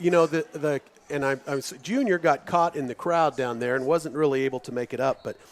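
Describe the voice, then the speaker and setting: A man's fairly high-pitched voice with a Midwestern US accent, ordinary pitch variation, and a dry, close sound with no echo. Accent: US Midwest. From Kansas, Lawrence. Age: 50s. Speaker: radio sports commentator. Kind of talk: live radio sports commentary chat. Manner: halting, many restarts.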